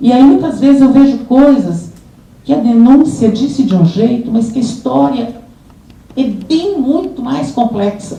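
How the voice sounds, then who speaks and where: A woman with a high voice speaks fairly slowly, her intonation lively. Audible room echo and noticeable background noise are present. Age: 70s. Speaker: social work professor and prison system expert. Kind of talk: seminar panel talk. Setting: conference panel with audience. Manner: hesitant, with frequent fillers and repetitions.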